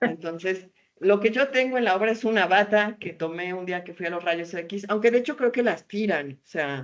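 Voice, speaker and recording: At a moderate pace, a woman with a medium pitch uses lively intonation and big swings in loudness. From Mexico, Puebla (Tehuacán). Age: 40s. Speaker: theatre artist and storyteller. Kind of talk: interview. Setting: video call. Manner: animated.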